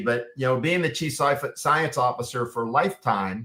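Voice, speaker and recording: A man's bright, sharp voice at medium pitch and a fairly quick pace, with ordinary pitch variation. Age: 60s. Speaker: clinical pharmacist and nutritionist. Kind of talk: interview. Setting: Facebook Live broadcast.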